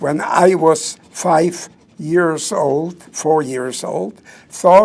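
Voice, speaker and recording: Over noticeable background noise, a speaker with a non-native accent talks at a very slow pace with lively intonation. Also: man. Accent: foreign. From southern Poland. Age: 90s. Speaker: Holocaust survivor speaker, retired doctor. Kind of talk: public talk. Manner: preacher-like.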